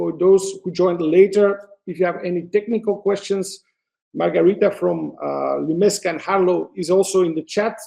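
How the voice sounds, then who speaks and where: With a Flemish accent, a man speaks in a high pitch with a dark, mellow tone and monotone, flat intonation. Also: moderate pace. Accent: Flemish Belgian Dutch accent in English. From Belgium, Antwerp (Flanders). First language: Dutch. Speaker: photographer. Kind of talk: webinar presentation. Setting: online webinar. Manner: hesitant, many fillers.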